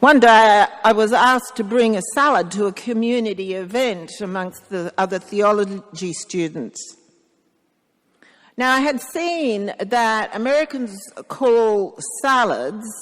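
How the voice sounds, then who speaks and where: This woman speaks in an Australian accent at a fairly slow pace. Her intonation is lively. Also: fairly high pitch for a woman. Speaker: priest. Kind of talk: sermon. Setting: church.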